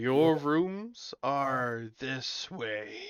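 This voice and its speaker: Putting on a character voice, a man speaks at medium pitch with lively intonation. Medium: actual play. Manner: slow, formal.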